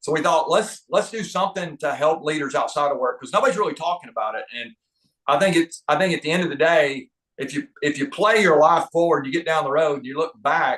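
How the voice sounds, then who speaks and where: Fairly high-pitched male voice with a slight Southern US accent, a fairly quick pace and ordinary pitch variation. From US South, North Georgia. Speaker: leadership trainer and author. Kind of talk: podcast interview. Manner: halting, frequent word repetitions.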